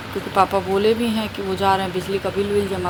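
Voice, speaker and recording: Noticeable background noise and audible room echo accompany a soft-spoken woman. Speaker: family vlogger. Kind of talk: casual vlog talk. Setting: at home. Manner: soft-spoken, quiet.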